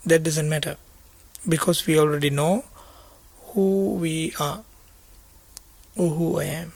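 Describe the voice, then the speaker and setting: Speaking at a fairly slow pace with long, frequent pauses, a man with a Sri Lankan accent uses a fairly high pitch and fairly even intonation. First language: Sinhala. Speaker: Buddhist monk teacher. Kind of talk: dharma talk. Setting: meditation retreat. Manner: halting.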